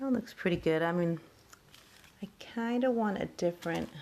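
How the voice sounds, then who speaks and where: A woman speaks at medium pitch and a moderate pace, with lively intonation. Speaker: craft hobbyist. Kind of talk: tutorial. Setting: at home, child asleep nearby. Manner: soft-spoken; casual.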